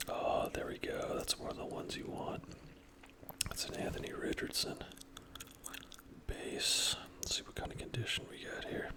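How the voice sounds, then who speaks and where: A man whispering at a moderate pace, with long, frequent pauses over noticeable background noise. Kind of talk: ASMR trading card opening, casual talk. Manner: whispered, soft-spoken.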